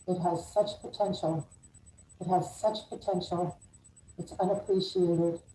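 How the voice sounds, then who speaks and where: Somewhat breathy and dark, mellow in tone, a woman speaks at a medium pitch and a fairly slow pace with fairly even intonation and long, frequent pauses. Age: 60s. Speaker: mayoral candidate, attorney. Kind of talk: campaign opening statement. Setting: live video call.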